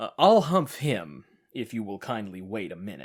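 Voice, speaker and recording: In a very clean recording with a silent background, a man is heard. He uses a put-on character voice. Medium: read story.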